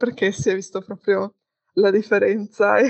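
A woman speaks at a moderate pace. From Padua, Veneto, northern Italy. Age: 20s. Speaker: interviewee, student traveller. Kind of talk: interview. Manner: hesitant fillers.

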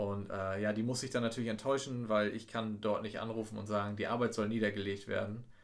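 A man's fairly low, monotone, flat voice at a fairly quick pace with hardly any pauses, plus audible room echo. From East Frisia, northern Germany. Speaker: tourism office employee, podcast co-host. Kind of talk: casual chat.

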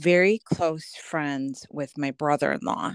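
With a US Midwestern accent, a woman talks at a fairly slow pace in a very deep, low pitch with ordinary pitch variation. The sound is dry and close, with no echo. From Des Moines, Iowa (US Midwest). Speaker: high school alum. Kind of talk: casual chat. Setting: remote call.

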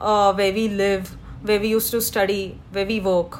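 A woman speaks at a fairly slow pace in a flat monotone. Noticeable background noise is present. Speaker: podcast co-host. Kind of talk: casual chat.

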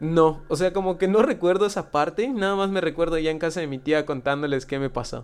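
Pitched high, a man talks with hardly any pauses. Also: ordinary pitch variation, fairly quick pace. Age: 20s. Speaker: tattoo artist. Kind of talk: casual chat.

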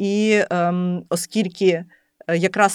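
The recording of this woman's voice is very clean, with nothing audible in the background. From Lviv, western Ukraine. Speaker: entrepreneur and food blogger. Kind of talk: interview.

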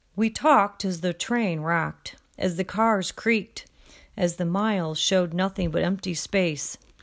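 A woman's plain, everyday voice at medium pitch, with ordinary pitch variation and a fairly slow pace, on a very clean recording with a silent background. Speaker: audiobook narrator and study-guide reader.

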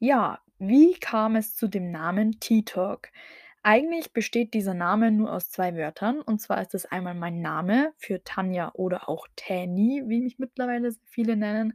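In an ordinary speaking voice, a woman talks at a fairly slow pace with fairly high pitch and ordinary pitch variation, recorded with a dry, close sound with no echo. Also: very clean recording, silent background. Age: 20s. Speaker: podcast host, bikini fitness athlete. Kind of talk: solo podcast introduction.

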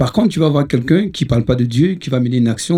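A man's very fast, somewhat breathy speech with a dark, mellow tone. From Ivory Coast. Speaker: musician. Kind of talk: casual chat.

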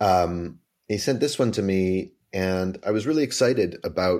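A man with a Canadian accent, very deep and low in pitch, with ordinary pitch variation on a very clean recording with a silent background. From Canada, Vancouver. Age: 40s. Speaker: author and musical theater writer. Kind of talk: interview conversation.

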